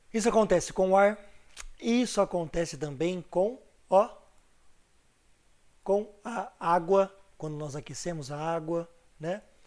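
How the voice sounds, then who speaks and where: A man with a high-pitched voice talks at a fairly slow pace with ordinary pitch variation, big swings in loudness, and long, frequent pauses. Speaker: teacher. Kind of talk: online class lecture. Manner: casual, chatty.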